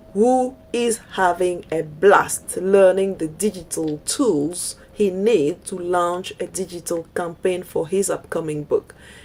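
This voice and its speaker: A woman at a very slow pace with ordinary pitch variation, over noticeable background noise. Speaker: digital marketing coach. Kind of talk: online course presentation. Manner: hesitant with fillers.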